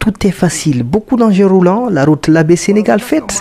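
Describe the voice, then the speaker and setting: With noticeable background noise, a man talks at a fairly slow pace, his pitch swinging very widely. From Guinea, Fouta Djallon (Lélouma). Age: 80s+. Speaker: retired trader. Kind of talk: interview testimony.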